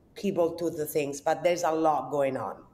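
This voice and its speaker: The intonation stays fairly even. Noticeable background noise is present. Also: woman. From southern Italy. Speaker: cooking content creator. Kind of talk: casual interview chat.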